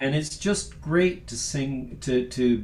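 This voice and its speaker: Amid audible room echo, a man speaks at a very slow pace in a somewhat breathy, medium-pitched voice with lively intonation. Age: 60s. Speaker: sacred music composer and singer. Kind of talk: casual chat. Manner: halting.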